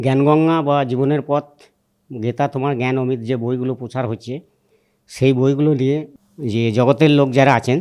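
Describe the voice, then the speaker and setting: A man speaks at a medium pitch with a dark, mellow tone. His intonation stays monotone and flat. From West Bengal, Birbhum district. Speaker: religious devotee giving testimony. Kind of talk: testimony interview.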